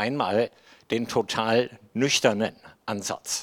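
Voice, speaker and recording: A man talks with a fairly low pitch and fairly even intonation. The recording is very clean, with a silent background. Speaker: guest preacher. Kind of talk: sermon.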